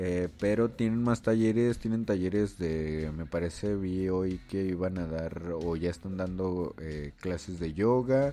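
Speaking very slowly, a man has a very deep, low pitch and a dark, mellow tone. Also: ordinary pitch variation. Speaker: podcast host and visual artist. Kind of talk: casual solo podcast monologue. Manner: halting, many fillers and repetitions.

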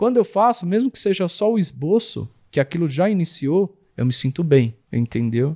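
At a moderate pace and with hardly any pauses, a man speaks in a high pitch with very wide pitch swings and a dark, mellow tone, the sound dry and close with no echo. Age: 40s. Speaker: tattoo artist. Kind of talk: interview. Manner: hesitant, with repeated words.

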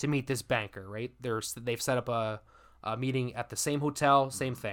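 A man has an ordinary speaking voice at medium pitch. He talks at a moderate pace with ordinary pitch variation. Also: very clean recording, silent background. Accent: Canadian. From Canada. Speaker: podcast host. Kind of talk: casual chat, storytelling.

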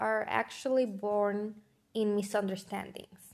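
A woman with a non-native accent speaks at a medium pitch. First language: not English. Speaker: podcast host. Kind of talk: motivational monologue.

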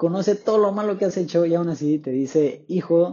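Speaking in an animated tone, a man keeps a moderate pace and ordinary pitch variation. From Tapachula, Chiapas, southern Mexico. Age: young. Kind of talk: religious talk podcast.

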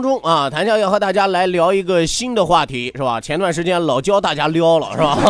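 This man speaks fairly quickly with hardly any pauses, over noticeable background noise. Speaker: radio talk show host. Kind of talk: entertainment talk show monologue. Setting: radio studio. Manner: animated; laughs often.

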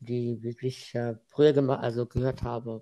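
A man's medium-pitched voice stays monotone, with flat intonation. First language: Arabic (speaking German). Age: 20s. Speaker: student and freelance web developer. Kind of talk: casual interview. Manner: halting.

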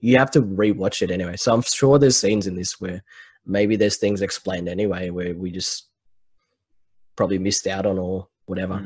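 At a fairly quick pace, a normal speaking voice delivers its words with fairly even intonation. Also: man, fairly low pitch for a man. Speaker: podcast host. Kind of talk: casual chat. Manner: casual, laughs often.

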